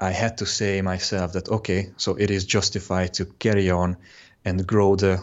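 Very deep and low, a man's monotone, flat voice with a Hungarian accent moves at a moderate pace. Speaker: web designer. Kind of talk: interview.

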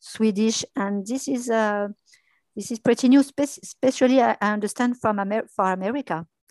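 Set against a quiet background, a woman speaks at a moderate pace with a fairly high pitch. The sound is dry and close, with no echo. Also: ordinary pitch variation. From France. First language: French. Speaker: dubbing studio business development. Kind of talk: interview. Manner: halting.

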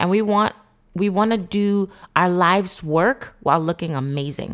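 A woman speaks at a moderate pace in a medium pitch with ordinary pitch variation, on a very clean recording with a silent background. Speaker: therapeutic coach and podcast host. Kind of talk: motivational monologue. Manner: conscious of a polished broadcast voice.

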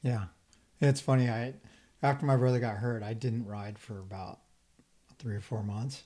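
On a very clean recording with a silent background, a man with a medium-pitched, dark, mellow, somewhat breathy voice talks at a moderate pace, with ordinary pitch variation, big swings in loudness and long, frequent pauses. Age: 50s. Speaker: motocross podcast host. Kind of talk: casual interview chat.

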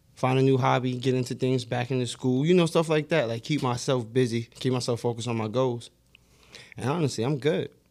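A man talks in a plain, everyday voice at a medium pitch. His pace is fairly quick and his intonation fairly even. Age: 30s. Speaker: podcast co-host. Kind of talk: casual chat.

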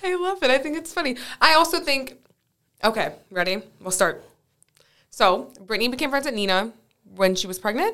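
A woman with a high pitch speaks in a raised, projected voice at a moderate pace. Her pitch swings very widely, and she takes long, frequent pauses. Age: 20s. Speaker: podcast guest, host's best friend. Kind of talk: casual chat. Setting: studio.

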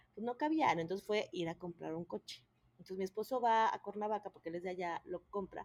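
The speaker has a plain, everyday voice with lively intonation and a fairly quick pace. The sound is dry and close, with no echo. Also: woman, medium pitch for a woman. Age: 30s. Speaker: mother of triplets. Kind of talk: personal story in interview.

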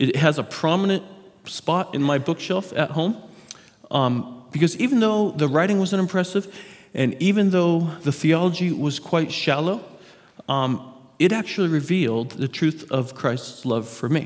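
Here is a man with an unremarkable speaking voice and a fairly high pitch. He speaks at a moderate pace with lively intonation. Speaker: pastor. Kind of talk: sermon.

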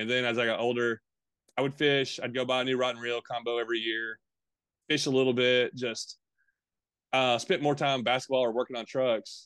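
A man with a Tennessee accent speaks at medium pitch and a fairly quick pace, with long, frequent pauses. His intonation is monotone and flat, and the background is quiet. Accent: Southern US (Tennessee). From Middle and East Tennessee. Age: 30s. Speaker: fishing YouTuber. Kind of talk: casual interview.

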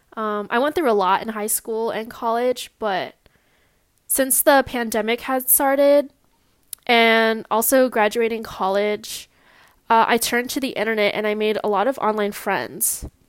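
A woman with a Californian accent speaks at a fairly high pitch. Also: fairly even intonation, fairly slow pace, very clean recording, silent background. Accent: Californian American. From US West Coast (Long Beach, California). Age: 20s. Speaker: podcaster. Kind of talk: solo monologue. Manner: hesitant, many fillers.

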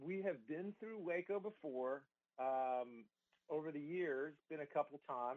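A fairly slow-talking man with a Southern US accent and a fairly high pitch. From US South, Georgia. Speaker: musician and songwriter. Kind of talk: radio interview. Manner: casual, relaxed.

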